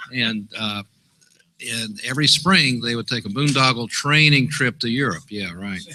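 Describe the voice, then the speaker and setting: The voice moves at a fairly quick pace. Its pitch variation is ordinary. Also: man. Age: 60s. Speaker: retired meteorologist, former navy weather officer. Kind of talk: casual storytelling on a live show. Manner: animated.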